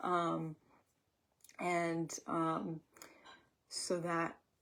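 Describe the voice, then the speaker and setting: A quiet woman speaks at a fairly low pitch with monotone, flat intonation on a very clean recording with a silent background. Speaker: acupuncturist teaching a class. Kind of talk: lecture. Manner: hesitant with many fillers.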